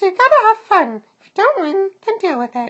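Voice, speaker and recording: This put-on character voice is squeaky and extremely high, with very wide pitch swings. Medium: read story. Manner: brisk, upbeat.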